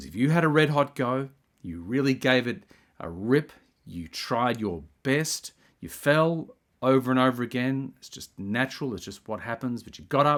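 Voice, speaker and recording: On a very clean recording with a silent background, a man at a medium pitch speaks at a moderate pace with lively intonation and big swings in loudness. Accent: Australian. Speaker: video essayist. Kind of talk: spiritual monologue. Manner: halting.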